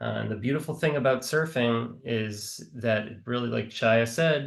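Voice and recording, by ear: A man speaks with vocal fry. His pitch varies an ordinary amount. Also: medium pitch for a man, moderate pace.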